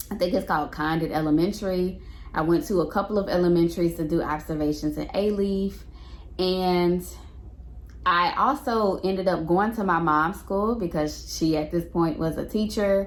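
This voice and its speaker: In an American accent, a woman with a fairly low pitch and ordinary pitch variation speaks at a moderate pace. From Houston, Texas. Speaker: middle school teacher. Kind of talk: casual talk to camera.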